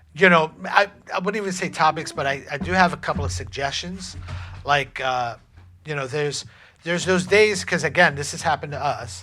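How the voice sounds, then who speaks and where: With music behind him, a fairly high-pitched man uses lively intonation and keeps a medium speed. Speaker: relationship podcast co-host. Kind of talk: casual chat. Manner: halting, stumbling over words.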